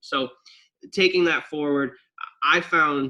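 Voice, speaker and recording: This man has an American accent and a fairly high pitch. His tone is bright and sharp, with ordinary pitch variation. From Wisconsin. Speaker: track and cross country coach. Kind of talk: interview answer. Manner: animated.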